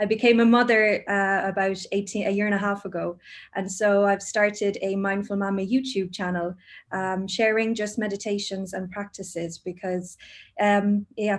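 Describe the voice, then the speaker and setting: A woman with an Irish accent speaks at a moderate pace and medium pitch in a monotone, flat intonation, on a very clean recording with a silent background. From Ireland, Cork. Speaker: mindfulness teacher, HR professional. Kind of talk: casual chat.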